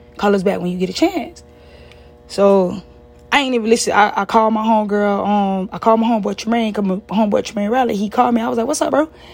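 Against noticeable background noise, a woman talks very fast at a fairly high pitch with ordinary pitch variation. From South Florida (Fort Lauderdale area). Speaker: podcast host and business owner. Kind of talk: personal storytelling monologue. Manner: casual, conversational.

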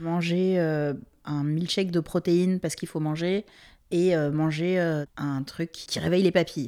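Her voice sits fairly low for a woman, with a dark, mellow tone. She speaks at a fairly slow pace with fairly even intonation. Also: very clean recording, silent background. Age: 30s. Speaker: project director interviewed about fashion. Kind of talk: interview testimony.

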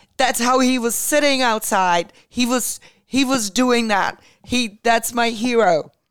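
Speaking with a Czech accent, a woman with a fairly high voice talks at a fairly slow pace with ordinary pitch variation. Her loudness stays very even. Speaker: podcast co-host. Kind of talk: casual talk show chat.

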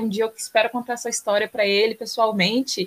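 A woman speaks in a plain, everyday voice. Her pitch is fairly high, and her intonation fairly even. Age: 20s. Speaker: environmental engineer and climate activist. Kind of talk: podcast interview.

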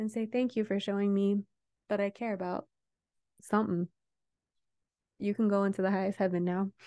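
The voice has a dark, mellow tone and monotone, flat intonation, broken by long, frequent pauses. The sound is dry and close, with no echo. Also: woman, medium pitch for a woman. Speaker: meditation guide and Reiki practitioner. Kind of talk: guided meditation with Reiki.

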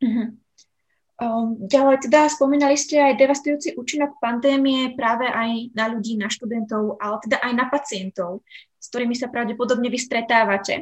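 Her pitch high and her intonation fairly even, a woman speaks at a fairly quick pace with big swings in loudness. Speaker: podcast host. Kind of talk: interview. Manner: hesitant.

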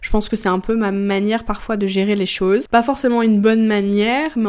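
On a very clean recording with a silent background, a woman speaks at a moderate pace with a fairly high pitch, an ordinary speaking voice. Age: 20s. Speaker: book content creator and podcaster. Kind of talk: casual solo chat.

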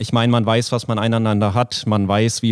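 A man's flat, monotone voice moves at a moderate pace in a very clean recording with a silent background. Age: 20s. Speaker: startup founder. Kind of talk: interview. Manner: frequent filler words (ähm).

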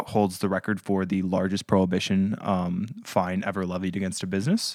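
A man with a normal speaking voice talks at a moderate pace and fairly low pitch, with fairly even intonation and hardly any pauses. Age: 20s. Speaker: museum historian, podcast host. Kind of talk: casual chat.

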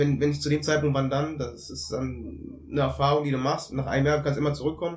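Audible room echo surrounds a man's somewhat breathy voice. His pitch is fairly high and his intonation fairly even. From Germany, Cologne. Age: 30s. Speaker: former footballer and football consultant. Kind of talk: podcast interview. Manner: halting, many fillers.

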